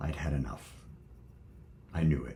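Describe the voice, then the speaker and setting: A man's very deep, low voice with vocal fry and audible room echo. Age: 70s. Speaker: former friar and video blogger. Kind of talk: personal reflection monologue. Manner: halting.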